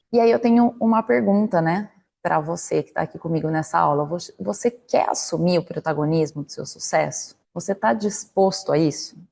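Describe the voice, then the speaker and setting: A woman's fairly low, dark, mellow voice with vocal fry, lively intonation, a moderate pace and hardly any pauses. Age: 30s. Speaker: corporate career coach, marketing manager. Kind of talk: online lecture. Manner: conversational, direct address with rhetorical questions.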